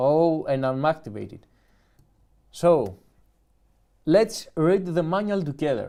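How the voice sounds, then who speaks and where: With a Greek accent and a dark, mellow tone, a man speaks at a very slow pace and fairly high pitch, with lively intonation and long, frequent pauses, in a very clean recording with a silent background. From Greece. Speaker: YouTuber, music producer. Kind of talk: live stream unboxing. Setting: live stream.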